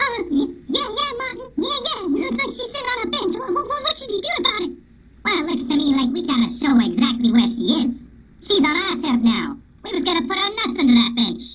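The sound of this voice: A man performs a put-on character voice at an extremely high pitch. He uses very wide pitch swings and a fairly quick pace.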